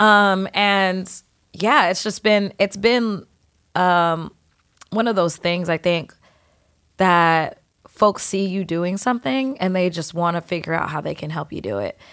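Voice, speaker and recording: A woman with an American accent speaks at a fairly slow pace with an animated tone, medium pitch and ordinary pitch variation. The recording is very clean with a silent background. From San Diego, California. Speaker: singer-songwriter. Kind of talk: casual chat. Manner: animated, laughing often.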